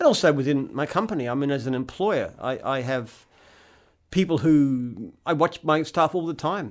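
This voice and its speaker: Speaking at a moderate pace with an Australian accent, this man has a fairly high pitch and ordinary pitch variation, captured on a very clean recording against a silent background. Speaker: franchise company founder and CEO. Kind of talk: casual chat.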